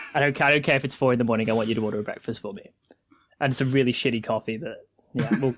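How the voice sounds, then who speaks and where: Talking at a very fast pace, a man with a British accent uses ordinary pitch variation. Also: medium pitch for a man. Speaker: podcast host. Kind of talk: casual chat.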